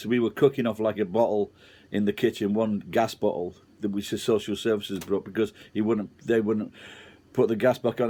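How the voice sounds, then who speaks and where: A man with a Sheffield accent, medium in pitch and dark and mellow in tone, at a moderate pace on a very clean recording with a silent background. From Sheffield, England. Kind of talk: casual talk to camera, personal story.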